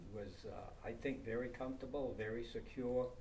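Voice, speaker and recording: A man with an American accent talks at a moderate pace. Noticeable background noise and audible room echo fill the recording. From Maine, US. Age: 80s+. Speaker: town elder interviewed about local history. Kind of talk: oral history interview. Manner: halting, many fillers.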